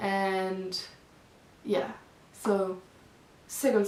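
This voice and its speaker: With noticeable background noise behind her, a woman talks at a medium pitch with a non-native accent. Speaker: vegan vlogger. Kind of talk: casual talk to camera.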